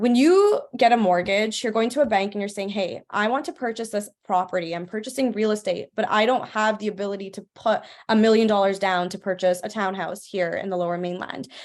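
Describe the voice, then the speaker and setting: A woman with a Canadian accent speaks at a medium pitch and a fairly quick pace, with ordinary pitch variation. She hardly pauses, and the background is quiet. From Vancouver, Canada. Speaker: financial educator, mortgage broker. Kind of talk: online workshop presentation. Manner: fast.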